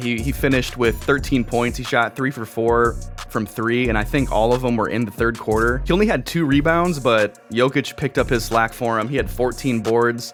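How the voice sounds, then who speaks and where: Over music in the background, a man talks at a fairly quick pace and medium pitch with ordinary pitch variation. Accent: American. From Minnesota. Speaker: sports YouTuber, basketball commentator. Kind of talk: casual sports recap talk to camera.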